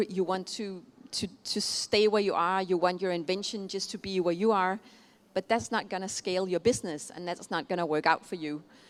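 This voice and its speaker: Medium-pitched woman's voice with a Danish accent and fairly even intonation, on a very clean recording with a silent background. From Denmark. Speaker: keynote speaker on innovation. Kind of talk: keynote speech. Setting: conference stage with audience. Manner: hesitant, many fillers.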